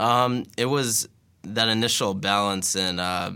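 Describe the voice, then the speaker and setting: A man's bright, sharp voice. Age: 20s. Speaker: entrepreneur. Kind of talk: interview. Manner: halting, many fillers.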